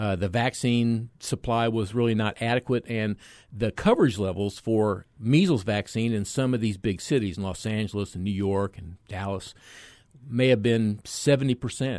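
A man with an American accent speaks in an unremarkable speaking voice, fairly low in pitch with ordinary pitch variation. His pace is moderate and the background is quiet. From US mainland. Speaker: physician and vaccine expert. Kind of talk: radio interview.

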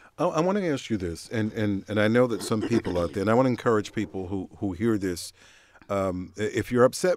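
This man has a plain, everyday voice at a fairly low pitch. He speaks at a fairly quick pace with ordinary pitch variation. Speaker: radio host. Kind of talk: radio call-in discussion. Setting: radio studio.

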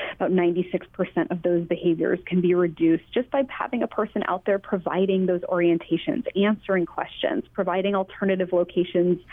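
Using a plain, everyday voice, a woman talks at a fairly quick pace in a medium pitch with ordinary pitch variation. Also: very even loudness. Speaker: tourism destination manager. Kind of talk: interview.

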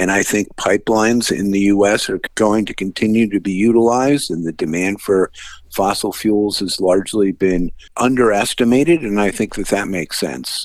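A man with a fairly low pitch speaks in a plain, everyday voice. His pace is moderate and his pitch variation ordinary, against a quiet background. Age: 60s. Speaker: financial analyst. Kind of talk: radio interview.

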